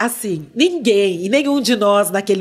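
Speaking at a moderate pace, a woman of medium pitch shows ordinary pitch variation. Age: 50s. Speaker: former dancer and actress, now marketing entrepreneur; podcast guest. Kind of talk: interview conversation. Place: studio. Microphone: studio mic.

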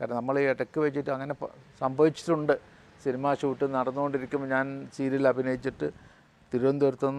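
The man speaks at a medium pitch in a monotone, flat intonation. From Kerala, Malabar. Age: 70s. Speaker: film and TV actor. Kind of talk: interview.

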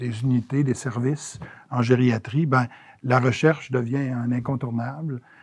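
A somewhat breathy man's voice in monotone, flat intonation against a quiet background. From Quebec City area, Quebec; Quebec. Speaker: geriatrician and former health minister; former health minister. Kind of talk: interview. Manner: halting, many hesitations. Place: office. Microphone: lapel.

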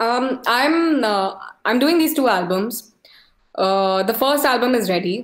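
A woman speaks fairly slowly in a fairly high voice with lively intonation. The background is quiet, though audible room echo comes through. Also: very even loudness. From India. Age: 20s. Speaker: musician and producer; interviewee. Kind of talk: casual interview chat. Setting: video call. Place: home room.

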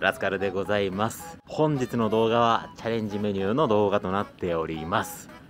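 A man talks fairly quickly while clear music sounds behind him. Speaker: competitive eating vlogger. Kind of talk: casual vlog chat. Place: street. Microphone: phone near.

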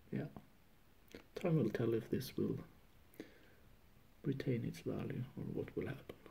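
A man speaks in a Norwegian accent. He leaves long, frequent pauses. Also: fairly slow pace. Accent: non-native, Norwegian. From Norway. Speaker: comic book collector. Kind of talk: casual talk to camera. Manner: hesitant, many fillers. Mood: pleased, relaxed. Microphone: phone near.

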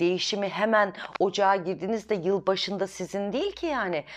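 A woman talks in an animated tone. Her pitch sits in the medium range. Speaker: astrology video host. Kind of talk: weekly horoscope monologue. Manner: fast. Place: home room. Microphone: lapel.

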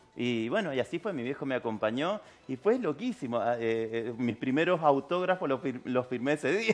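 The man's intonation is lively. He keeps a moderate pace. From Argentina, San Juan; Argentina. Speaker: tango singer; interviewee. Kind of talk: interview. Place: studio.

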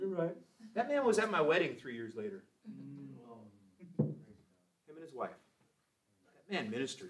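A man's tone is bright and sharp. His pitch swings very widely. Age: 40s. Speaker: Sunday school teacher. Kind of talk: Bible class teaching. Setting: church. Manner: animated. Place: classroom. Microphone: camera far.

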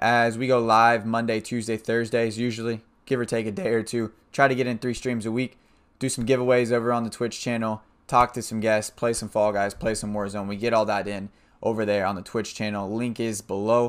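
A man at a fairly quick pace, in a monotone with flat intonation. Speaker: streamer, host. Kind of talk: casual vlog intro. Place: home room.

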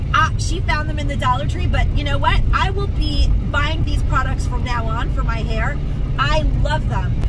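A woman talks at a moderate pace, her voice dry with no echo, over loud background noise. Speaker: shopping vlogger. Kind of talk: casual vlog chat. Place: car. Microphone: phone near.

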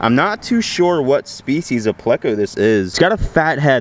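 Fairly quick speech from a man with very wide pitch swings, in a dry recording with no echo and light background noise. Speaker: outdoor fishing vlogger. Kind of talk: casual vlog chat. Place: waterside. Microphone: phone near.

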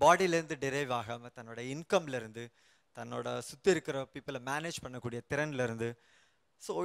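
Against a quiet background, a man speaks with ordinary pitch variation and big swings in loudness. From Chennai; India. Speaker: researcher in English literature; guest. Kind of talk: panel discussion. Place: studio. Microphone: handheld.

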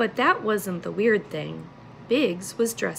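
The clip consists of plain reading aloud.

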